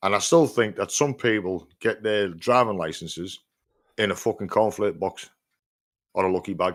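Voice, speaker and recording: On a very clean recording with a silent background, a man with a fairly low pitch speaks in an animated tone. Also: ordinary pitch variation, moderate pace. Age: 60s. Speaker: podcast host, van driver. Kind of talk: casual chat.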